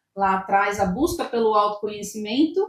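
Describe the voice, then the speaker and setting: A woman at medium pitch and a moderate pace, in a normal speaking voice. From Brazil, Campinas (São Paulo state). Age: 20s. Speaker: business owner and coach. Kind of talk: podcast interview.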